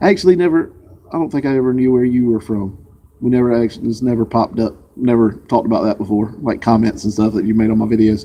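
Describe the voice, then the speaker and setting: A man talks very fast in a Southern US accent. His pitch is medium, with ordinary pitch variation. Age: 40s. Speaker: vlogger. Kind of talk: casual chat. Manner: casual, hesitant.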